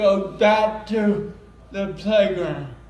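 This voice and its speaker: A high-pitched man with fairly even intonation, amid noticeable background noise and audible room echo. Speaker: self-advocate speaker. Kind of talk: conference presentation. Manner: loud.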